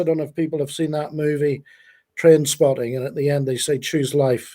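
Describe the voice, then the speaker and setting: With a Northern Irish accent, a man speaks at a moderate pace in a dark, mellow tone and a fairly high pitch, captured on a very clean recording with a silent background. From Northern Ireland, Belfast. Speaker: youth charity founder. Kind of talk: live stream interview. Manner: halting.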